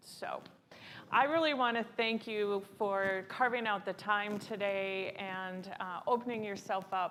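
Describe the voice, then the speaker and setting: A woman at a medium pitch for a woman speaks at a very slow pace with fairly even intonation. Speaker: panel moderator. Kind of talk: panel moderation. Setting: stage with audience. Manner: loud.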